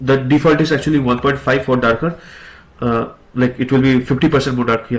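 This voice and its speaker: Somewhat breathy, a man speaks at medium pitch and a fairly quick pace. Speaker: programming tutor. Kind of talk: tutorial. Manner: hesitant, many filler sounds.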